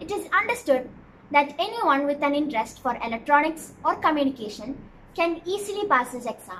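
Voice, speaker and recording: A raised, projected voice moves at a fairly quick pace with lively intonation. The tone is bright and sharp, with light background noise. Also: woman. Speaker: explainer vlogger. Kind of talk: explainer talk to camera. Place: home room.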